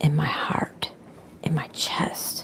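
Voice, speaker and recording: A woman whispers over noticeable background noise. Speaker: spiritual vlogger. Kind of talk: inspirational monologue. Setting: online video.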